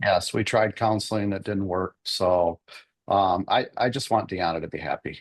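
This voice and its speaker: A man at a moderate pace, fairly low in pitch, with monotone, flat intonation. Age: 60s. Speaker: husband in a divorce case. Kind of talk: court testimony. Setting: courtroom. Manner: halting, many repetitions and fillers.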